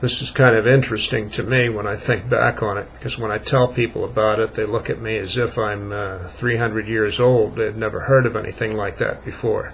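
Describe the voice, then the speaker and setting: In an American accent, the speaker talks fairly quickly with hardly any pauses and monotone, flat intonation over noticeable background noise. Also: man, medium pitch for a man. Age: 60s. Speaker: vlogger. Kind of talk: casual monologue. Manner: halting.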